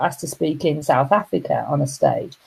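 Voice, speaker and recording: A woman speaks with a Yorkshire accent and a dark, mellow tone. Her intonation is lively. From Yorkshire, northern England. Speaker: motivational coach and speaker. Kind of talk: casual live-stream talk. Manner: hesitant, many fillers.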